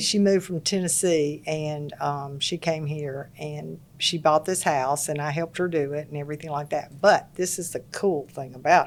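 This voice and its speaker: A woman's very deep, low voice in a Mississippi accent, at a moderate pace with hardly any pauses and fairly even intonation. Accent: Southern US (Mississippi). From US South, Laurel, Mississippi. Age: 70s. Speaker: interior designer. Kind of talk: casual chat.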